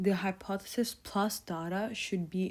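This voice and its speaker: Vocal fry runs through a woman's medium-pitched voice, her intonation fairly even. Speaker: tutor. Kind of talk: tutorial.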